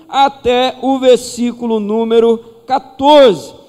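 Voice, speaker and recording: A man's voice amid noticeable background noise. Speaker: pastor. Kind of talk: sermon. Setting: church.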